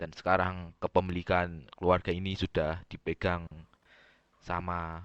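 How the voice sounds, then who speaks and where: Slow-paced and very deep, a man speaks in a monotone, flat intonation with long, frequent pauses, in a dry, close sound with no echo and a quiet background. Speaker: gamer roleplaying family boss. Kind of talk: roleplay game meeting. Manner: casual, swearing slang.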